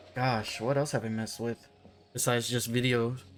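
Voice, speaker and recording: This man keeps his medium-pitched voice fairly even in intonation while music plays in the background. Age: 20s. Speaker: gaming YouTuber. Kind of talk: casual talk over gameplay. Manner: hesitant, filler-heavy.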